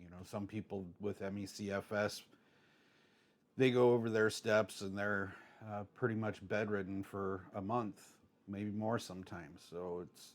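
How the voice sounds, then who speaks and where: Over a silent background on a very clean recording, a man with a fairly low pitch speaks in a flat monotone, his loudness swinging widely. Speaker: home cook with chronic illness. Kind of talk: cooking tutorial. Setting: home kitchen, seated on a stool. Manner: halting, many fillers.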